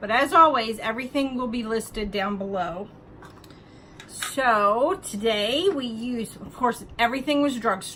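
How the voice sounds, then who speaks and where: A woman speaks at a fairly slow pace with lively intonation and big swings in loudness. Noticeable background noise runs underneath. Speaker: beauty vlogger. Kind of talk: makeup tutorial voiceover. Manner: casual, chatty.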